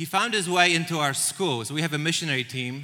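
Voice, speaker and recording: A man's bright, sharp voice with a Polish accent and ordinary pitch variation, on a very clean recording with a silent background. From Poland. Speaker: church missions director. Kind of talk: church presentation. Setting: stage with audience.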